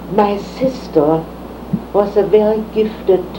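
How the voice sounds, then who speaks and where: This woman's voice sits at a medium pitch with fairly even intonation. Noticeable noise runs in the background. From Germany. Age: 80s+. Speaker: retired teacher. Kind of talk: oral history interview answer.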